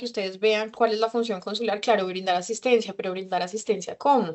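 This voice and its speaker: Her pitch fairly high and her intonation fairly even, a woman talks at a fairly quick pace. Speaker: consular official. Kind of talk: lecture. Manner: fast.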